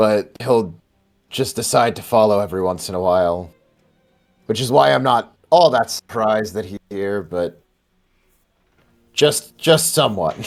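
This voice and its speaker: Raspy put-on character voice at a moderate pace, long, frequent pauses, music in the background. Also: man, fairly low pitch for a man. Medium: actual play. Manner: cocky, casual.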